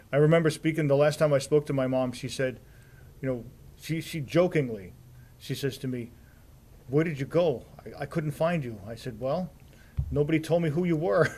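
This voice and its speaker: A man talks at a fairly quick pace and fairly high pitch, with long, frequent pauses and ordinary pitch variation. His tone is dark, mellow and somewhat breathy. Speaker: TV program manager. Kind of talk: interview.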